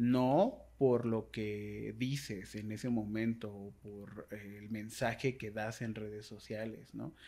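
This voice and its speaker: A very slow delivery in a dark, mellow tone, with fairly even intonation, hardly any pauses and big swings in loudness. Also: man, fairly low pitch for a man. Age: 20s. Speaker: writer and blogger, body positivity advocate; blogger. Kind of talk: casual interview conversation. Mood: reflective, earnest. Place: home room. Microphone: studio mic.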